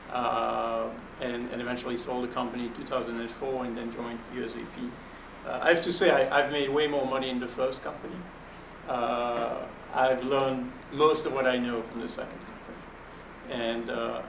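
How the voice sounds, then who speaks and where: Spoken with a French accent and fairly even intonation, the voice carries audible room echo over noticeable background noise. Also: man. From Belgium. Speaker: venture capitalist. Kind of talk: panel interview.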